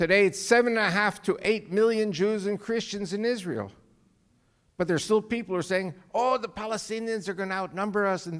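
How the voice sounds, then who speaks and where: A man with a New York accent, high in pitch, fairly quick in pace and fairly even in intonation. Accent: New York American. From New York, US. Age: 70s. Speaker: guest speaker, author. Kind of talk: speech to church audience.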